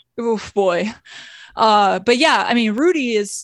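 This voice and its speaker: Against a quiet background, a woman with an American accent and a normal speaking voice talks at a medium pitch with ordinary pitch variation, the sound dry and close with no echo. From Indiana, South Bend. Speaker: comedian. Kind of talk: casual chat. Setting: video call.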